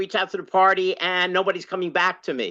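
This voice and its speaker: Against a quiet background, a woman speaks loudly and fairly quickly, her medium-pitched voice bright and sharp in tone. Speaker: longtime party activist and former candidate. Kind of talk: open discussion in online workshop. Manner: halting, many fillers.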